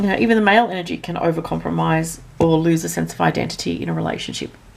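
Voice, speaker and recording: Noticeable background noise sits under a woman who speaks at a very fast pace. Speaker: astrology and tarot reader. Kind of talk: monthly astrology forecast. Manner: casual, filler-heavy.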